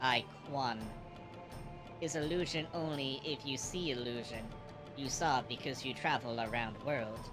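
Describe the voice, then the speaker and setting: A put-on character voice at a low-to-middle pitch, with long, frequent pauses over loud music in the background. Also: moderate pace. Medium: game stream. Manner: broken English, slow and sage.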